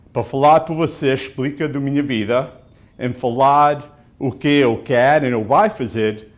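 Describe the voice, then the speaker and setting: In an American accent, a man is talking. He speaks fairly slowly. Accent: American-accented, non-native Portuguese. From US Northeast, Portuguese-American community. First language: English (speaking Portuguese). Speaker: city council candidate. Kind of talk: interview. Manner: halting.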